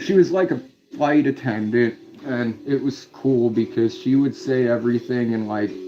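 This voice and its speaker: Music plays behind a man speaking with an Indiana accent. His pitch is medium with ordinary variation, and his pace is moderate. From US Midwest, Indiana. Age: 30s. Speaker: live streamer. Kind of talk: casual chat. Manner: halting, many fillers.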